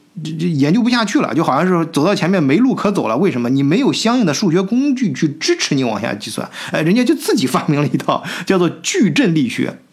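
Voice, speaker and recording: Over noticeable background noise, a man talks very fast in a high voice with very wide pitch swings. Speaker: podcast host. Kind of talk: solo podcast monologue. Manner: casual with many fillers.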